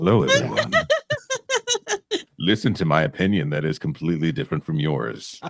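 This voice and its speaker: Putting on a booming character voice with very deep, low pitch, a man talks at a fairly quick pace broken by long, frequent pauses. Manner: trailer-voice style.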